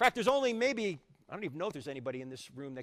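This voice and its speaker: A man speaks in an American accent with an animated tone and very wide pitch swings. The recording is very clean with a silent background, and the sound is dry and close with no echo. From New Jersey. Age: 60s. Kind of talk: apologetics lecture. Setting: university hall with live audience. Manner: fast.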